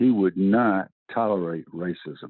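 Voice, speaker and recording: Speaking in a Southern US accent, this man uses ordinary pitch variation. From US South. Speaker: retired football coach. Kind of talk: interview. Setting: podcast.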